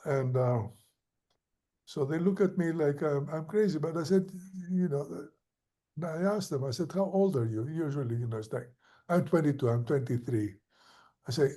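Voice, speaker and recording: A man with a fairly high pitch and a dark, mellow tone speaks somewhat breathily at a moderate pace, with lively intonation. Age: 70s. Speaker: professor of architecture. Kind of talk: conversational interview. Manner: hesitant, many fillers.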